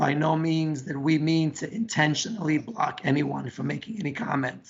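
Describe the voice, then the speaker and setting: At a moderate pace, a man with a fairly high pitch and ordinary pitch variation talks over noticeable background noise. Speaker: school council president. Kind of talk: public meeting.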